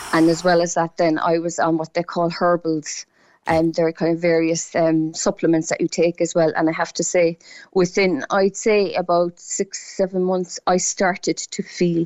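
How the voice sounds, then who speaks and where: In a Cork accent, a woman with a fairly low pitch speaks in a monotone, flat intonation at very even loudness. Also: moderate pace. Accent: Cork Irish. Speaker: patient sharing illness experience. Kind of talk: radio phone-in testimony. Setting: phone call.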